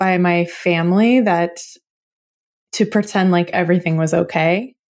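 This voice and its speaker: Very clean, with a silent background, this recording has a woman with an American accent. She uses an ordinary speaking voice at a medium pitch and a fairly slow pace. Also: very even loudness. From Oklahoma, US. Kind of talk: interview conversation.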